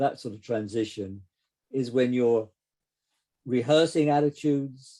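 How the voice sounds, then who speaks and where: With an English accent, a man talks at a moderate pace. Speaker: psychotherapist. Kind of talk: casual chat. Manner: halting.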